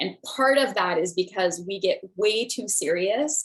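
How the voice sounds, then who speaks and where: A woman's normal speaking voice at a moderate pace. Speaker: spiritual teacher and medium. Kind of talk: online class.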